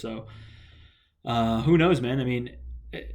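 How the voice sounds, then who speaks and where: An American accent at a moderate pace, with audible room echo. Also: man. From United States. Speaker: football vlogger. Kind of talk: solo video commentary. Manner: halting, many fillers.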